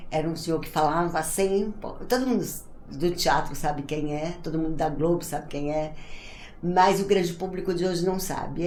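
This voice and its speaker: A woman speaks in a fairly low voice. Audible room echo surrounds her. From Brazil, Ceará. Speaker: actress, writer and theatre director. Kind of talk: interview, personal storytelling.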